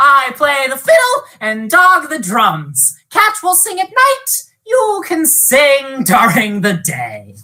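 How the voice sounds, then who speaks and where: In a loud, put-on character voice pitched high, a woman speaks at a very slow pace with hardly any pauses. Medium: read story.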